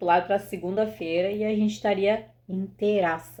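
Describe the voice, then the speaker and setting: With an animated tone, a woman speaks at a moderate pace, her medium pitch showing ordinary variation. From southern Brazil (Rio Grande do Sul). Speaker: video host. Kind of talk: casual chat.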